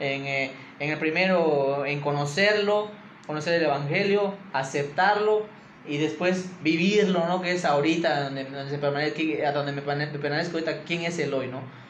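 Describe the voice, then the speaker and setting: Amid noticeable background noise and audible room echo, a man speaks fairly slowly at a fairly high pitch with ordinary pitch variation. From Mexico, Campeche. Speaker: church leader. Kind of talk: interview, personal testimony. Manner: halting, many repetitions.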